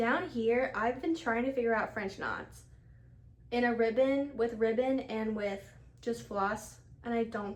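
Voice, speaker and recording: Here a woman talks in an ordinary speaking voice. Her voice sits fairly high and varies in pitch in an ordinary way. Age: 20s. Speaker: ICU nurse and crafter. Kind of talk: casual crafting podcast talk to camera. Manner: casual, chatty.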